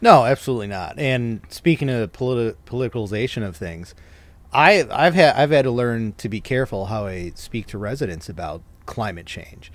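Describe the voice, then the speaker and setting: A man talks in a normal speaking voice at a medium pitch. His intonation is lively, and his loudness swings widely. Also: fairly quick pace. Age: 30s. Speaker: podcast host, municipal arborist. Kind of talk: casual interview chat. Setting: recording at home.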